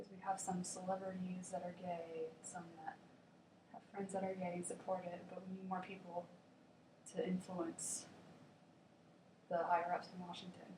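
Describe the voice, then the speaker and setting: A woman speaks quietly with an American accent, her medium-pitched voice dark, mellow and somewhat breathy. Her intonation is monotone and flat, broken by long, frequent pauses. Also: moderate pace. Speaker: college student. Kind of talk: persuasive class speech.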